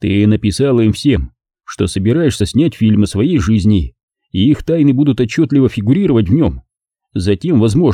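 Over a quiet background, someone reads in a natural voice with lively intonation.

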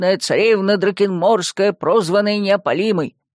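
An unforced reading voice with intonation held fairly even

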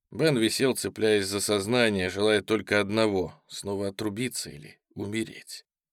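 A natural reading voice carries fairly even intonation. Behind it, all is quiet.

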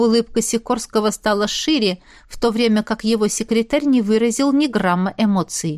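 Reading aloud in a natural voice, the speaker lets the pitch vary in an ordinary way.

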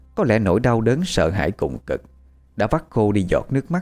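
Text is being read out. The reading voice is natural.

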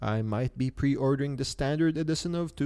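Recorded very cleanly against a silent background, a man talks in a medium pitch with ordinary pitch variation. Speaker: podcast host. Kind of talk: solo casual podcast talk. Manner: hesitant, many filler sounds.

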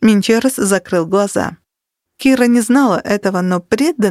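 The background stays quiet. What's heard is plain reading aloud.

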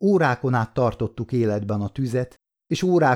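Against a quiet background, a natural reading voice full of lively intonation

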